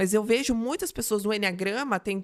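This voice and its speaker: With lively intonation and a fairly high pitch, a woman talks in an ordinary speaking voice. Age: 40s. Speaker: mentor and speaker. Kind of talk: interview.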